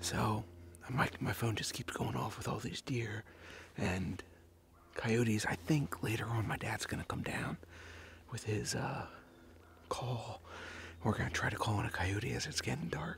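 A man whispers at a fairly slow pace. He leaves long, frequent pauses. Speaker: hunter vlogger. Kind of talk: casual vlog chat. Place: forest. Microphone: phone near.

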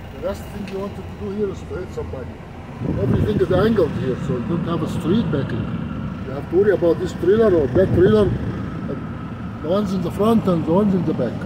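The voice moves at a very fast pace. Loud background noise is present. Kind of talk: casual vlog commentary. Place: car. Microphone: phone near.

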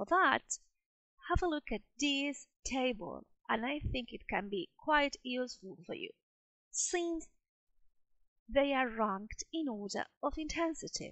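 Speech at a fairly slow pace swings very widely in pitch, broken by long, frequent pauses. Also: woman, high pitch for a woman. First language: Spanish. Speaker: English teacher. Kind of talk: lecture.

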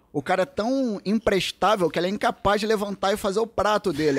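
A man speaks in a high-pitched voice. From Brazil. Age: 40s. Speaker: social skills coach. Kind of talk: casual chat. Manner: animated. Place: studio. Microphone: studio mic.

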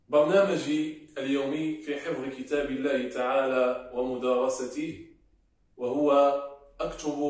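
A man speaking at a very slow pace, with audible room echo and a quiet background. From Morocco. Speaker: Quran reciter. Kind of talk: interview answer.

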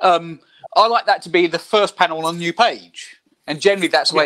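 Moderate pace against a quiet background. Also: man. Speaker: comic artist. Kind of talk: casual chat. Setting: video call. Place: home room. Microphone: video call.

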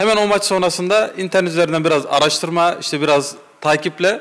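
A man's voice with fairly even intonation. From Konya Ereğli, Turkey. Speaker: football supporter. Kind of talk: casual interview. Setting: supporters' clubhouse. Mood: warm, earnest storytelling. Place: home room. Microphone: handheld.

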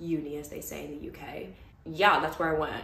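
A woman with a New York accent speaks in an animated tone, her voice carrying audible room echo. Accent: New York American. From Brooklyn, New York. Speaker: vlogger, former lawyer. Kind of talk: casual chat. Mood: relaxed, reflective storytelling. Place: home room. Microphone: phone near.

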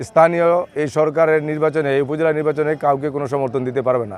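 A man has an unremarkable speaking voice. His pitch is fairly high and his intonation fairly even. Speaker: local politician and upazila election candidate. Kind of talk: news interview, campaign statement.

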